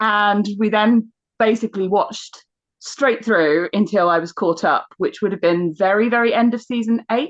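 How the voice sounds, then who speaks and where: A woman with an English accent speaks at a moderate pace in a fairly high voice. Her loudness stays very even while her pitch varies in an ordinary way. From England. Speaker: archaeologist and podcast guest host. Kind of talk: casual chat.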